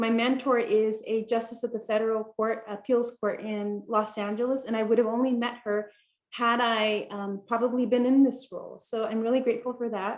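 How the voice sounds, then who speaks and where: Speaking with a Spanish accent, a woman uses a fairly high pitch and a monotone, flat intonation at a moderate pace with hardly any pauses. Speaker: attorney, law school alum. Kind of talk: panel talk.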